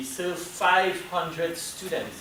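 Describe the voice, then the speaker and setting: Audible room echo surrounds a man speaking in a Trinidadian accent. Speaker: university program staff presenter. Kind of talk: presentation at a meeting. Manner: loud.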